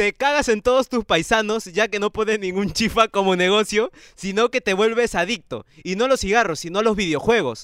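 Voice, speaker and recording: Speaking at a moderate pace with hardly any pauses, a man has a high, animated voice with ordinary pitch variation. The sound is dry and close with no echo. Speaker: podcast host. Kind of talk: casual chat. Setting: studio.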